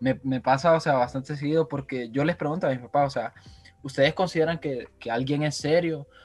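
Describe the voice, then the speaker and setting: Music plays in the background as the speaker talks at a fairly quick pace with fairly even intonation. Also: man, fairly high pitch for a man. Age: 20s. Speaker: podcast co-host, journalism student. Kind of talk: casual chat.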